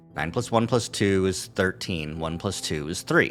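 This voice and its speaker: In a put-on character voice, a man mumbles at a moderate pace with a very deep, low pitch. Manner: mumbling.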